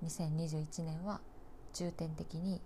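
A woman speaks with a dark, mellow tone at a fairly low pitch. Her voice is somewhat breathy. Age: 20s. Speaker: nurse and podcast host. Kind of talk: casual solo monologue. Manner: halting, many fillers and pauses.

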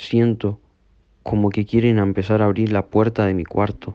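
Against a quiet background with a dry, close sound and no echo, a man speaks fairly slowly in a flat, monotone voice at fairly low pitch. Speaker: horror story narrator. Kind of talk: ghost story telling, first-person narration of a haunting, hushed and suspenseful. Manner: slow, hushed and tense, building dread.

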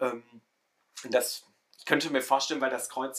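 A man's voice with a bright, sharp tone. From Ruhr area, Germany. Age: 20s. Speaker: theology student, social media creator. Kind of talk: casual discussion podcast.

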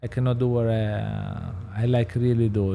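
At a fairly slow pace, a man speaks in a dark, mellow tone at medium pitch with ordinary pitch variation. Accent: Italian. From Southern Italy. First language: Italian. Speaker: pizza chef and restaurateur. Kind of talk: casual interview. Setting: studio with small audience. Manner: animated.

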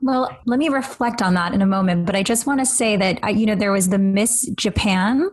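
Somewhat breathy and fairly high in pitch, a woman speaks at a fairly quick pace with very even loudness. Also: ordinary pitch variation. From Canada. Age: 30s. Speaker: podcast host. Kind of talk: casual chat.

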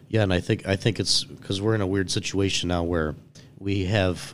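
A man with a Western New York accent speaks at a moderate pace and with fairly even intonation. The recording is very clean, with a silent background. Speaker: entrepreneur. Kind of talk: casual chat. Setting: studio.

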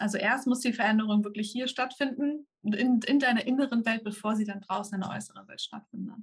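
A woman with a fairly high, somewhat breathy voice speaks at a moderate pace with ordinary pitch variation. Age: 30s. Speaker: manifestation coach and YouTuber. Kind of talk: interview. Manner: halting.

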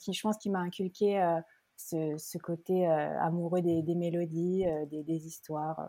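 A woman speaks at a fairly slow pace with a fairly low pitch and monotone, flat intonation. Her tone is dark and mellow, on a very clean recording with a silent background. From Geneva, Switzerland. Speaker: singer-songwriter. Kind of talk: interview. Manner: halting, many hesitations.

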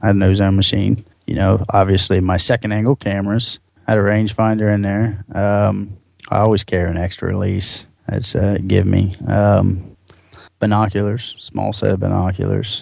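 A man speaks in a fairly low register with flat, monotone intonation. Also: moderate pace. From central Ohio, south of Columbus. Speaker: deer hunter. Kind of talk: interview storytelling. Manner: casual with filler words.

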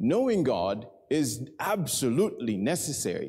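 There's vocal fry in this man's medium-pitched voice. Room echo is audible. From Kenya. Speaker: preacher. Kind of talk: sermon.

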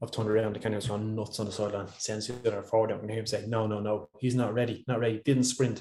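A man with an Irish accent talks very fast at medium pitch, his dark, mellow tone somewhat breathy and his intonation monotone and flat. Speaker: professional footballer. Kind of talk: casual interview chat.

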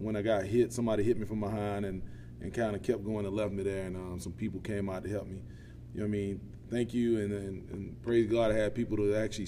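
Audible room echo surrounds a man whose fairly low, dark, mellow voice moves at a very fast pace with ordinary pitch variation. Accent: American. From US South, south Georgia (Quitman). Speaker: plant operations manager and volunteer football coach. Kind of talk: casual interview.

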